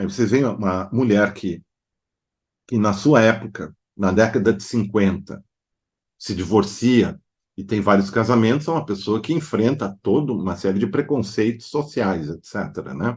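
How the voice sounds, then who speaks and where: A man speaks fairly slowly at a fairly low pitch, with ordinary pitch variation. He has a German accent, and the background is quiet. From southern Brazil (Novo Hamburgo, Rio Grande do Sul). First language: German (speaking Portuguese). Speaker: psychoanalyst and artist. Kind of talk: interview. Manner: hesitant with filler sounds.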